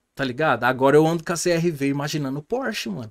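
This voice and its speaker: The background stays quiet. A man's speech comes at a fairly quick pace. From Brazil. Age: 30s. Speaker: podcast guest. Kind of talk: casual chat. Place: studio. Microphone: studio mic.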